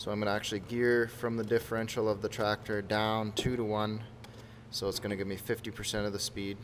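There is light background noise as a man with a plain, everyday voice speaks at a fairly low pitch and a moderate pace. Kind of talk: tutorial. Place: workshop. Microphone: phone near.

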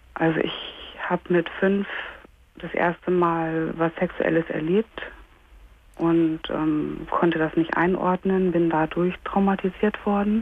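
A woman's very slow, monotone, flat delivery, dry sound with no echo, light background noise. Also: fairly low pitch for a woman. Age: 30s. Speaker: caller. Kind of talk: phone-in call, personal testimony. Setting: phone call. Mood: hesitant, painful personal disclosure. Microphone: phone line.

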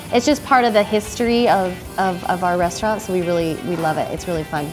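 Over clear music in the background, a woman talks at a very fast pace. Her pitch variation is ordinary. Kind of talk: interview answer. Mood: upbeat, promotional. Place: cafe.

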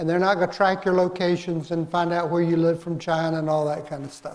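The speaker is a man with a high pitch. His intonation is fairly even. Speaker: course instructor. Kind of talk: lecture. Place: hall.

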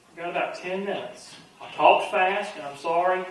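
A man talks at a slow pace with a high pitch, and strong room echo surrounds his voice.

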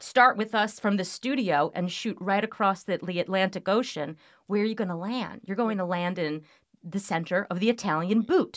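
A woman speaks at a moderate pace with ordinary pitch variation, the background quiet. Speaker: winery sales director, podcast guest. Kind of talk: interview answer. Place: studio.

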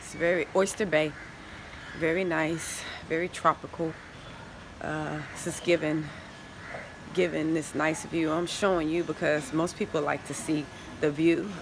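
A woman with a very deep, low pitch speaks in a monotone, flat way at a moderate pace, leaving long, frequent pauses, in a dry recording with no echo but noticeable background noise. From United States. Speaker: travel vlogger and relocation consultant; travel vlogger. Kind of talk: casual walking vlog to camera. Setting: outdoors at a hotel, walking with camera. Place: garden. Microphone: phone near.

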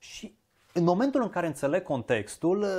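The background is quiet. A man with a high pitch speaks with lively intonation. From Transylvania, Romania (Arad, Cluj); Transylvania, Romania. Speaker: diction teacher. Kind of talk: interview conversation. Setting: shop. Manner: slow, mellow drawl. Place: home room. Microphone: lapel.

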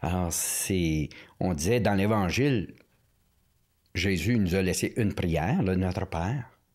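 A man's very deep, low voice at a very slow pace, with long, frequent pauses, ordinary pitch variation, very even loudness and a quiet background. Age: 60s. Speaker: priest, former prison chaplain. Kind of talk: casual interview chat. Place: studio. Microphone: studio mic.

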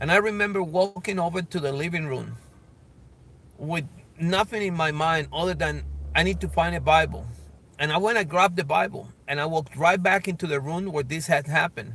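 Over dry sound with no echo, a bright, sharp tone moves at a moderate pace with ordinary pitch variation and long, frequent pauses. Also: man. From Colombia. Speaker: evangelist. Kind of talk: personal testimony. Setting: outdoors, filming himself. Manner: halting, many fillers. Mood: earnest, emotional storytelling. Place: car. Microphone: phone near.

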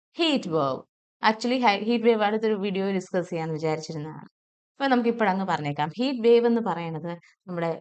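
This woman's medium-pitched voice swings very widely up and down. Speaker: English teacher. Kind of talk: tutorial.

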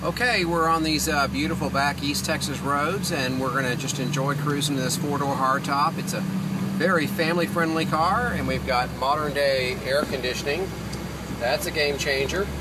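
Loud background noise sits behind a man speaking. He talks at a moderate pace with ordinary pitch variation. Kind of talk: casual vlog chat. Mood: relaxed, cheerful. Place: car. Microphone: phone near.

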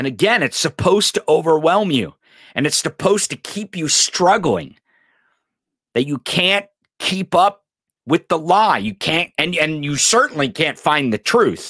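A man with an American accent, bright, sharp tone and lively intonation, at a fairly slow pace over a quiet background. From US. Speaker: podcast host. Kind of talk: angry political rant, profane and sarcastic. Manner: emphatic with repetitions and stumbles. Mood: irritated, emphatic, swearing. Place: studio. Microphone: studio mic.

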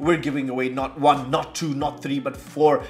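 A man's voice with faint music in the background. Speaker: whisky reviewer. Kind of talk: casual channel promo chat. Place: home room.

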